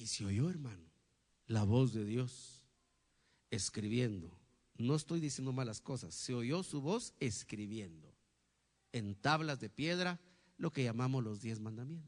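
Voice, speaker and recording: The pace is fairly slow, with long, frequent pauses and lively intonation. A quiet background sits behind the voice. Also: man, medium pitch for a man. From Guatemala, Huehuetenango (western highlands). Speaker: pastor. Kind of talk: sermon. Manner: animated, frequent rhetorical questions.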